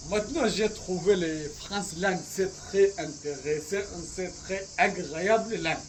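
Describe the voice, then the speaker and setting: With audible room echo and noticeable background noise, a man with an Arabic accent speaks very slowly in a high voice. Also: ordinary pitch variation. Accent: Arabic-accented French, learner. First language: Arabic (speaking French). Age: 20s. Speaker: language learner vlogger. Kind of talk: language practice monologue. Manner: halting, hesitant.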